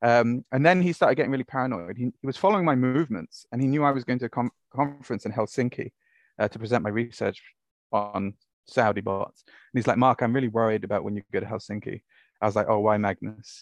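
Words come at a very fast pace in a Welsh accent, with ordinary pitch variation. The sound is dry and close with no echo, over a quiet background. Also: man, medium pitch for a man. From Wales. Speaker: academic researcher, author. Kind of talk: interview.

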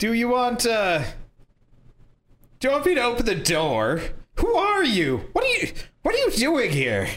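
Putting on a character voice pitched extremely high, a man speaks with long, frequent pauses in a room with audible echo. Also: moderate pace.

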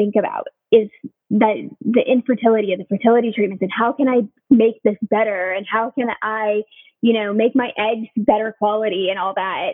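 With an American accent, a woman talks at a moderate pace in an ordinary speaking voice, fairly high in pitch. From Southern California. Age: 30s. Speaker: nurse. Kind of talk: casual interview.

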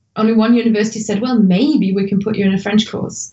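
In a German accent, a woman speaks at a medium pitch with a somewhat breathy voice. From Germany. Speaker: language tutor and blogger. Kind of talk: podcast interview.

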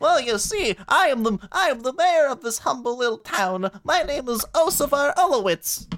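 A female-sounding put-on character voice, high in pitch, at a moderate pace with hardly any pauses. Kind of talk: comic overacting. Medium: actual play. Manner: folksy, fussy exclamations.

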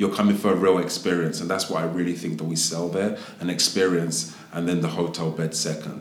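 Against noticeable background noise, a man with a very deep, low voice talks at a fairly quick pace with hardly any pauses and ordinary pitch variation. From Southeast London. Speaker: hotel executive. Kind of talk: casual interview.

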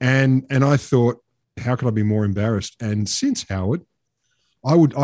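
Dark, mellow medium-pitched male voice in an Australian accent, ordinary pitch variation, very clean recording with a silent background. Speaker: podcast host. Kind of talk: casual banter podcast. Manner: cheeky, sweary, quick-witted.

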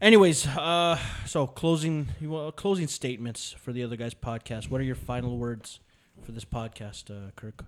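A man with an unremarkable speaking voice at medium pitch talks at a moderate pace with lively intonation and big swings in loudness, on a very clean recording with a silent background. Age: 30s. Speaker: podcast host. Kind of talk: casual banter. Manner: joking, profane.

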